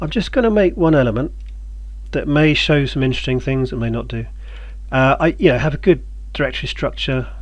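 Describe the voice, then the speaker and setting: Amid noticeable background noise, a man talks at a fairly quick pace broken by long, frequent pauses. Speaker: game developer tutorial maker. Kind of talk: tutorial. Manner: casual, hesitant with many ums; fast.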